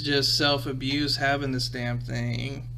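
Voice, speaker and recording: Amid noticeable background noise, a man talks with an American accent. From Midwestern US. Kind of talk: casual podcast talk. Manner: casual, rambling.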